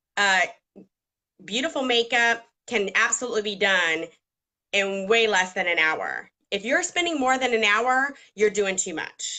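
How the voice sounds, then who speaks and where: With an American accent and lively intonation, a woman speaks with long, frequent pauses. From Georgia, US South. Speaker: makeup artist. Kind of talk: tutorial. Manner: conversational with fillers.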